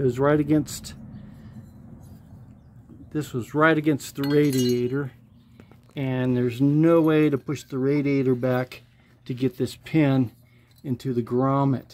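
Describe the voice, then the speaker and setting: Long, frequent pauses break up this fairly slow delivery over light background noise. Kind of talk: tutorial. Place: garage.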